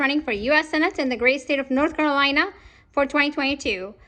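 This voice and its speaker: Raised and projected, this woman's high voice has a bright, sharp tone and ordinary pitch variation over a quiet background. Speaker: political candidate. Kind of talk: political commentary vlog.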